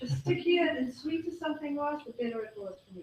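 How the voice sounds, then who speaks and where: A woman talks at a fairly quick pace with a South African accent. Her intonation is lively. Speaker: health speaker. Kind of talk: talk to a live audience. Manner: fast.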